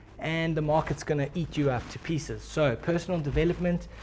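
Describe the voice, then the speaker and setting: This man's tone is dark and mellow, and somewhat breathy. He talks at a fairly quick pace with fairly high pitch. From South Africa. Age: 20s. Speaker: forex trader. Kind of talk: casual talk to camera.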